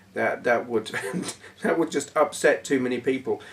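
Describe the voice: A man talks at a moderate pace with vocal fry. His voice carries a slightly husky edge. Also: medium pitch for a man, ordinary pitch variation.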